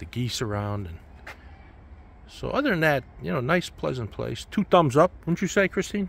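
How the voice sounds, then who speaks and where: Somewhat breathy and at medium pitch, a man speaks at a moderate pace with very wide pitch swings. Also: big swings in loudness. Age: 60s. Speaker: travel vlogger. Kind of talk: casual vlog narration.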